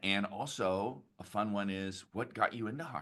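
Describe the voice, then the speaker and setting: Speaking at a fairly slow pace with an American accent, a man uses a bright, sharp tone and ordinary pitch variation. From San Jose, California. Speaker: product marketing manager, webinar host. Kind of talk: webinar interview.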